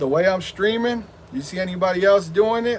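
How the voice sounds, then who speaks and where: A man talks fairly quickly at a high pitch, his pitch varying in an ordinary way, with noticeable noise in the background. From Southern California. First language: Spanish. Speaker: gaming streamer. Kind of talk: live stream chat. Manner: animated.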